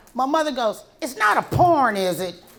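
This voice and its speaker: Noticeable background noise sits behind a woman's high voice and lively intonation. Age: 60s. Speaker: stand-up comedian. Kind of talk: stand-up. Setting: stage with audience.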